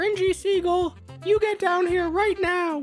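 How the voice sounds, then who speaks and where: Over clear music in the background, a female-sounding put-on character voice speaks at an extremely high pitch and a fairly slow pace. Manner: angry, scolding.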